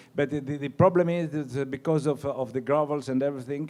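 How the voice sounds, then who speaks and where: The speech comes at a very fast pace in a Greek accent. The tone is dark and mellow, the intonation fairly even. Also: man. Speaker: winemaker. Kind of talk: wine seminar talk. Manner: halting.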